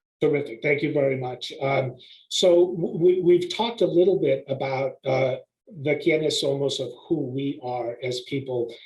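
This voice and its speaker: A fairly high, somewhat breathy male voice. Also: ordinary pitch variation, moderate pace. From US, Mexican immigrant family community. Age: 60s. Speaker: behavioral health panelist. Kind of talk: webinar presentation. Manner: hesitant, many fillers.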